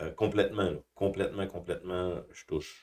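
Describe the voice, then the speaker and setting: On a very clean recording with a silent background, a man speaks at a fairly slow pace in a very deep, low pitch. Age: 60s. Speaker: YouTuber talking about markets and personal life. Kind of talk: personal testimony. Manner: hesitant, many fillers and repetitions.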